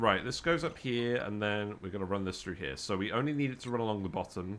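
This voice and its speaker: Speaking at a very fast pace, a man with a British accent has a fairly low-pitched voice. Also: lively intonation. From UK. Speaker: gaming streamer. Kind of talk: live game streaming commentary. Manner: thinking aloud, casual.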